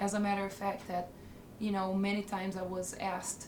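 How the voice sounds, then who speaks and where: A woman with an Italian accent, moderate pace and monotone, flat intonation, plus audible room echo and noticeable background noise. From northern Italy. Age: 20s. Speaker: interviewee. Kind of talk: documentary interview. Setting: on camera.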